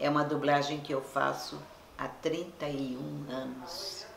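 Over light background noise and audible room echo, a woman speaks at a very slow pace with very wide pitch swings. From Brazil. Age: 80s+. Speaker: voice actor. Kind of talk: interview answer. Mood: warm, nostalgic, smiling. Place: home room.

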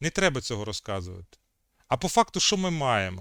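The man talks at a moderate pace with very wide pitch swings. The sound is dry and close, with no echo. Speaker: history video chat blogger. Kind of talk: video chat debate and history explanation. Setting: video call.

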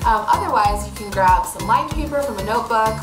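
Clear music plays in the background. Over it, a woman talks at a fairly quick pace. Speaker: art teacher. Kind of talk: tutorial. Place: workshop. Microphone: phone near.

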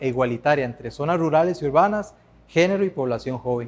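This man talks at a very fast pace in a fairly high voice. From Costa Rica. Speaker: former master's student. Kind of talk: testimonial. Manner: formal. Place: hall. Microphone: lapel.

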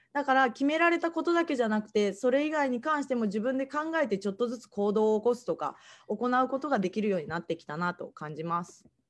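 A woman's high-pitched voice at a very fast pace, with very wide pitch swings and big swings in loudness. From Japan, Kagoshima (Kanoya); Japan. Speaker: after-school day service judo instructor. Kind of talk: online presentation. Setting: online livestream talk. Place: home room. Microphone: video call.

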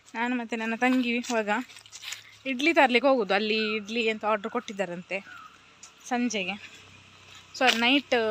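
Amid noticeable background noise, a woman talks at a fairly high pitch with fairly even intonation. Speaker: vlogger. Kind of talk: casual vlog narration.

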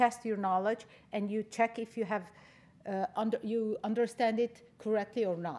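A woman speaks at a fairly high pitch and a moderate pace. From Lebanon. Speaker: education center director. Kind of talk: conference talk. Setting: stage with audience. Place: stage. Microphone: podium.

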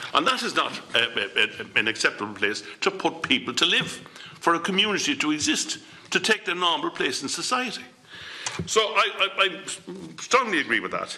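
In an Irish accent, a man speaks at a moderate pace, his high pitch swinging very widely. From Ireland. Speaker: politician. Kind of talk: committee debate. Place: meeting room. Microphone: podium.

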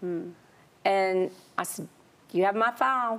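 A very slow Southern accent with ordinary pitch variation. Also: woman. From US South, South Carolina. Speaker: guest sharing testimony; guest. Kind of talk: testimony. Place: studio. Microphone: lapel.

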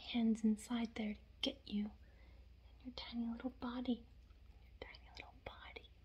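A woman talks in a soft-spoken way. Her pace is moderate. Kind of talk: soft playful roleplay talk to the viewer. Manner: soft teasing close-mic murmur. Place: home room.

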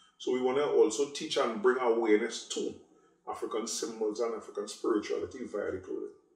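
In a quiet background with audible room echo, a man talks at a fairly quick pace. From Trinidad, Sangre Grande area; Trinidad. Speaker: clothing designer and store owner. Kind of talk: interview; interview answer. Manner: forceful, outspoken. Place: home room.

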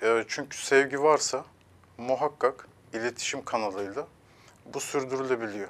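A man speaks at a fairly slow pace, with fairly even intonation and long, frequent pauses. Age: 30s. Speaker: relationship counselor; guest. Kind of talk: TV interview; interview answer. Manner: hesitant with filler sounds. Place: studio. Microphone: lapel.

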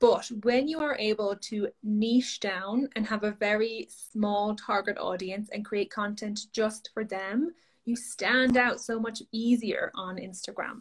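Somewhat breathy and fairly high in pitch, a woman speaks at a fairly slow pace with fairly even intonation. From Ireland. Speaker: social media coach. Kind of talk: interview. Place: home room. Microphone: video call.

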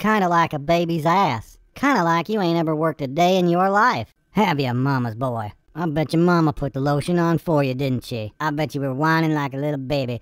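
This cartoonish character voice sits at a middle pitch and runs at a fairly quick pace with hardly any pauses. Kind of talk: comic overacting. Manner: mocking, crude, taunting.

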